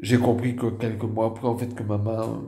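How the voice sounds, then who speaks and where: A man with a slight northern French accent, medium in pitch, dark and mellow in tone with vocal fry, monotone and flat, at a fairly slow pace amid audible room echo. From northern France. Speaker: stroke survivor vlogger. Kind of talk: personal testimony. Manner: halting.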